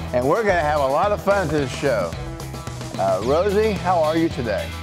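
This man's voice sits fairly high and swings very widely in pitch at a moderate pace. Music plays clearly behind him, and the sound is dry with no echo. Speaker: mayor and TV magazine host. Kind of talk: casual talk to camera. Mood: cheerful, playful. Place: meeting room.

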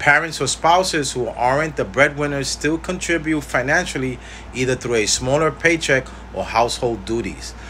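Light background noise behind a man at a moderate pace. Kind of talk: informational talk to camera. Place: home room. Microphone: phone near.

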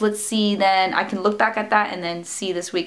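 Her pitch moves in an ordinary way as the woman talks. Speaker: fitness vlogger. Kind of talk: casual vlog chat. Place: home room.

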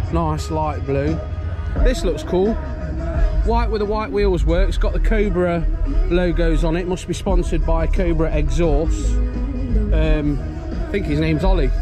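With music in the background, a man speaks at a fairly slow pace in a dry sound with no echo, leaving long, frequent pauses. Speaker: car show vlogger. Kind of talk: casual vlog commentary. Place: street. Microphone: phone near.

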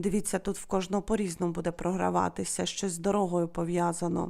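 Pitch stays fairly even throughout. Nothing can be heard behind the voice in this very clean recording. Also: woman. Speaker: wax-casting fortune teller. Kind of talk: fortune-telling video monologue.

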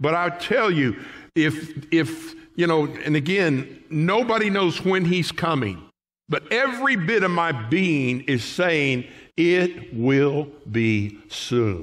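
A man's very slow delivery with very wide pitch swings against a quiet background. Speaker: pastor. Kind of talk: sermon. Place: church. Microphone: podium.

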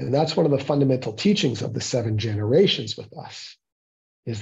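A man speaks in a dark, mellow tone that is somewhat breathy. The background is quiet. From Toronto area, Ontario, Canada. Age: 50s. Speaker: guest lecturer. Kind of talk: lecture. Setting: meeting room with audience. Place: office. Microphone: earbuds.

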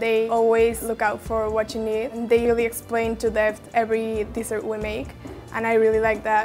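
A woman speaks at a moderate pace in a fairly high pitch, her intonation flat and monotone. Music plays in the background. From Mexico. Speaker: pastry student. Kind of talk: interview answer.

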